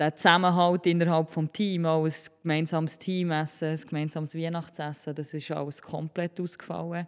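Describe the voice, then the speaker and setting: In a Solothurn accent, a woman speaks at a fairly low pitch and moderate pace with monotone, flat intonation, on a very clean recording with a silent background. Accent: Swiss German (Solothurn). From Switzerland, Solothurn. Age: 20s. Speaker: primary school teacher. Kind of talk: interview.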